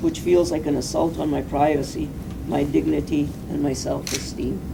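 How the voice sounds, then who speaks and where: At a moderate pace, a woman speaks with a Canadian accent amid noticeable background noise and audible room echo. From Canada, British Columbia (Castlegar). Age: 60s. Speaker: ALS patient and right-to-die advocate. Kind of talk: prepared statement. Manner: formal.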